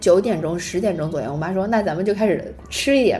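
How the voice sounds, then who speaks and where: A woman of medium pitch, with ordinary pitch variation, speaks at a fairly quick pace over noticeable background noise. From China. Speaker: podcast co-host. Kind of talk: casual chat. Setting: public library.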